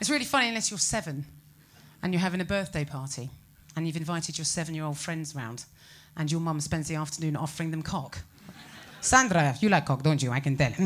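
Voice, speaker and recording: A woman with a British accent talks at a very fast pace, her pitch very deep and low with ordinary variation. Her speech has long, frequent pauses. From England. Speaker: comedian. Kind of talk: stand-up. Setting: stage with audience.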